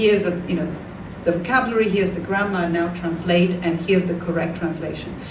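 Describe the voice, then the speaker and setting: A woman with an Italian accent speaks at a medium pitch, with noticeable background noise and audible room echo. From Italy, Tuscany. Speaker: professor of modern languages. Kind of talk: lecture Q&A.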